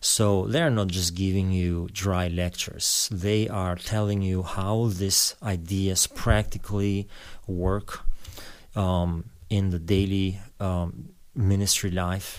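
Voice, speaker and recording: A man in an Albanian accent speaks at a very slow pace. His very deep, low voice keeps fairly even intonation. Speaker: pastor. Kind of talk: interview. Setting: studio.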